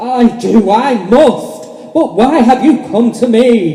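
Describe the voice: Putting on a character voice, a man speaks slowly at an extremely high pitch with a dark, mellow tone, and room echo is audible. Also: lively intonation.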